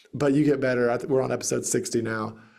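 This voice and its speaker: Speaking with a Southern US accent, a man at medium pitch shows ordinary pitch variation. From US South, Greenville, South Carolina. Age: 30s. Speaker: real estate investor and podcast host. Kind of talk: interview conversation.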